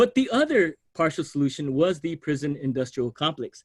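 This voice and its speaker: Lively intonation with a dry, close sound and no echo. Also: man. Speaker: sociology professor. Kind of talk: lecture. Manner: fast.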